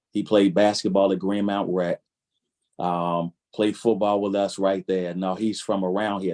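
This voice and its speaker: With an American accent, a man speaks fairly slowly in a fairly low pitch, his tone dark and mellow and his intonation fairly even. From Baltimore, Maryland (East Baltimore). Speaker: clinician and pastor. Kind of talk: panel discussion.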